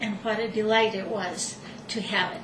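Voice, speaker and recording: A woman with fairly high pitch speaks amid noticeable background noise and audible room echo. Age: 60s. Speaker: retired nurse, home cook. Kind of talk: cooking demonstration. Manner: conversational, slightly halting.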